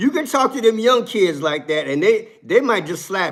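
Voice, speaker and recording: In a very clean recording with a silent background, the voice is animated, with very wide pitch swings. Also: man. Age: 60s. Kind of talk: live stream commentary.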